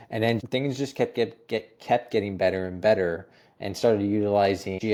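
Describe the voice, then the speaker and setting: In a Canadian accent, a normal speaking voice with fairly even intonation talks at a moderate pace, recorded very cleanly against a silent background. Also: man. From Ontario, Canada (Toronto area). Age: 30s. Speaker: holistic nutritionist. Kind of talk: interview. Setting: podcast recording.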